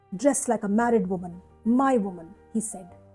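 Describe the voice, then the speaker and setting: A woman at a moderate pace, fairly high in pitch with ordinary variation, over music in the background. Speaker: poet. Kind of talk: poetry reading.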